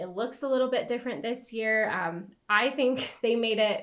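A woman speaks with ordinary pitch variation and a moderate pace, the background quiet. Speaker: travel guide. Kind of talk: tutorial. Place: home room.

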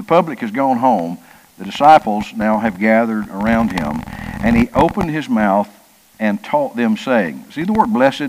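Male speech at a moderate tempo with noticeable background noise. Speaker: Sunday school teacher. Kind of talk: Bible study lesson. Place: church. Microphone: headset.

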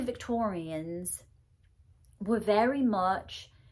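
Somewhat breathy woman with lively intonation over a quiet background. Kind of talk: personal monologue. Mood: earnest, grieving, emotional. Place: home room.

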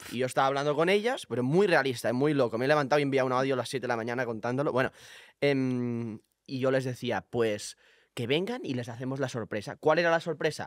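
Speech comes at a very fast pace with ordinary rise and fall in pitch. The background is quiet. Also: man, medium pitch for a man, dry sound with no echo. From Spain, small village. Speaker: content creator. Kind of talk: casual chat. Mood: playful, storytelling. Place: studio. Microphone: studio mic.

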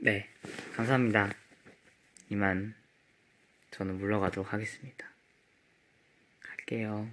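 Quiet and fairly slow, a man talks in a fairly low pitch with monotone, flat intonation and long, frequent pauses. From South Korea. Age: 20s. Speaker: K-pop idol. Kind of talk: casual chat. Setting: livestream from company practice room. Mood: calm, polite, relaxed. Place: home room. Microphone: phone near.

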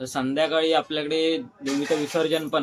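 A man with fairly even intonation. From Mumbai, Konkan roots. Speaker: vlogger. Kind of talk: casual vlog narration.

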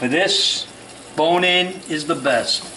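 A man's high-pitched voice at a very slow pace over light background noise. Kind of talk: tutorial. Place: kitchen.

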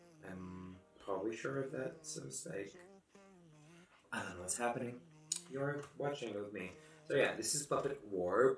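A man speaks with long, frequent pauses. Faint music sits in the background and the room echo is audible. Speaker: photo manipulation artist. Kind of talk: tutorial voice-over. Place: home room.

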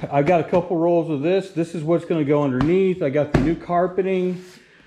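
A man talks at a fairly quick pace. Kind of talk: casual vlog chat. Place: garage. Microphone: phone near.

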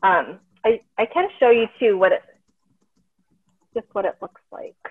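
In a dry, close sound with no echo, a woman speaks at a fairly slow pace with lively intonation and a slightly husky edge. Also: medium pitch for a woman.

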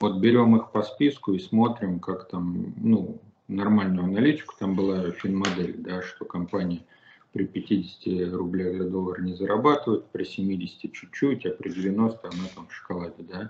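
A man with an ordinary speaking voice talks fairly slowly at a fairly low pitch, with ordinary pitch variation. His loudness swings a lot over light background noise. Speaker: guest. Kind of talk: interview answer. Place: home room.

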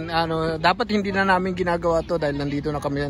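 A man talks at a very fast pace with a fairly high pitch. Noticeable background noise runs underneath. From Southern Leyte, Philippines. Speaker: YouTube vlogger. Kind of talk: casual vlog with street interviews. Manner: animated.

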